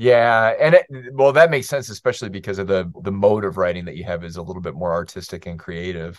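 In an American accent, the speaker races along very fast with lively intonation and hardly any pauses. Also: man, very deep, low pitch for a man. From US Midwest. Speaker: podcast host and professor. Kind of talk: casual interview conversation.

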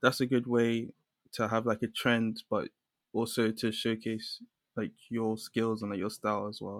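At a fairly slow pace, a man speaks in a medium pitch with monotone, flat intonation, in a very clean recording with a silent background and a dry, close sound with no echo. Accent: London. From London, England. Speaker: illustrator. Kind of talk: casual interview chat.

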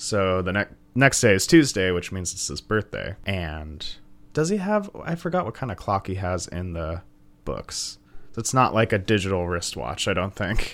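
A man's normal speaking voice, fairly low in pitch, with lively intonation at a moderate pace on a very clean recording with a silent background. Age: 20s. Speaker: comedy podcast co-host. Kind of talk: casual chat.

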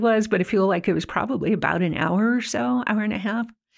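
A woman's normal speaking voice at medium pitch, with lively intonation. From Ventura County, California. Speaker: newspaper editor. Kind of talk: interview.

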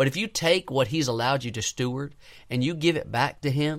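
A man speaks in an ordinary speaking voice at a medium pitch and a moderate pace. The recording is very clean, with a silent background. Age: 20s. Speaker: young pastor / preacher. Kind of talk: sermon.

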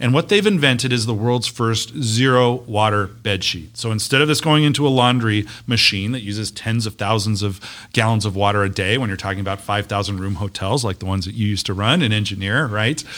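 A man with a plain, everyday voice and an American accent, fairly low in pitch, fairly quick with hardly any pauses, in a very clean recording with a silent background. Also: ordinary pitch variation. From US West (Las Vegas, Nevada). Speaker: university economic development official. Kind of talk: casual interview.

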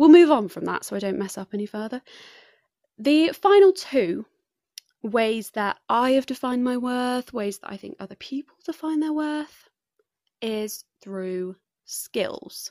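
A woman with an English accent speaks in a high voice with very wide pitch swings, at a fairly slow pace with long, frequent pauses. The sound is dry and close, with no echo. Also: very clean recording, silent background. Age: 20s. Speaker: podcast host and student. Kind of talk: solo podcast monologue. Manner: chatty, with frequent laughter.

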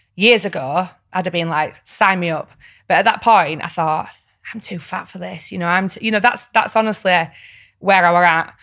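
A woman's bright, sharp voice with a Yorkshire accent, medium pitch, ordinary pitch variation, big swings in loudness and a moderate pace, in a very clean recording with a silent background. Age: 30s. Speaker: reality TV personality and podcaster. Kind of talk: casual chat.

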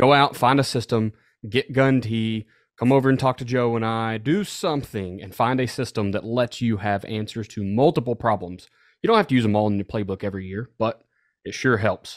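A plain, everyday voice moves at a fairly quick pace with ordinary pitch variation. The recording is very clean with a silent background, dry and close with no echo. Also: man, medium pitch for a man. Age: 30s. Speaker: football coach, podcast co-host. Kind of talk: casual chat.

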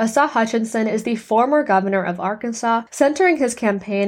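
In an American accent, a woman with an ordinary speaking voice talks at a fairly quick pace, her fairly high pitch showing ordinary variation. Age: 20s. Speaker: podcast host. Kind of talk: scripted narration. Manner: formal.

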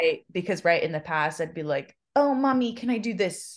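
Against a quiet background, a woman talks with lively intonation. She has a plain, everyday voice. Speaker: podcast co-host. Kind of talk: casual chat.

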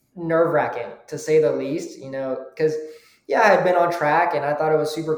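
With an American accent, a man speaks in a fairly high voice and fairly even intonation, and there is audible room echo. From US South. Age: young. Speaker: amateur racing driver. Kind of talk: interview.

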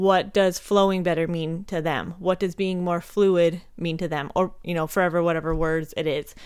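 A woman talks at a moderate pace with a slight Minnesota accent and a fairly low pitch. Her tone is animated, and she hardly pauses at all. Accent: slight Upper Midwest (Minnesota). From Montana, US. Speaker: chiropractic sports physician and pole coach, podcaster. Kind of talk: casual solo podcast monologue. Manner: chatty, animated, informal, swears.

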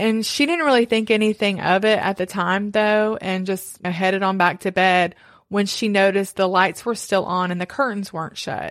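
A woman with a normal speaking voice talks at a medium pitch and moderate pace, with ordinary pitch variation and hardly any pauses, on a very clean recording with a silent background. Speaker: podcast host telling the story. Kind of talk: true-crime narration, told to a co-host in a conversational way. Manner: steady, storytelling pace, conversational, with occasional asides.

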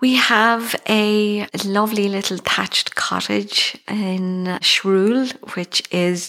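A woman speaks with an Irish accent and ordinary pitch variation. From Ireland, County Galway (Tuam). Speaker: actor. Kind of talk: interview.

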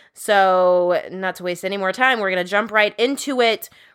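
Using an ordinary speaking voice, a woman keeps a medium pitch and a moderate pace. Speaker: podcast co-host. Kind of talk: casual chat.

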